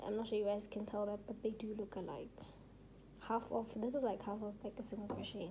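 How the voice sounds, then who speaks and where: A woman's voice amid noticeable background noise. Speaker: crochet tutorial creator. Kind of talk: tutorial. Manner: casual, filler-heavy; slow, deliberate demonstration.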